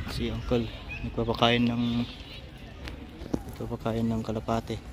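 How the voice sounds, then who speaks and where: A man's fairly slow speech over noticeable background noise. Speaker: vlogger. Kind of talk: casual vlog narration. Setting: outdoors, walking in a park.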